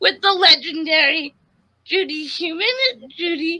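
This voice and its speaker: A woman raises and projects her extremely high, bright, sharp voice, speaking at a very slow pace with ordinary pitch variation. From US Northeast, Connecticut. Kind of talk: casual interview.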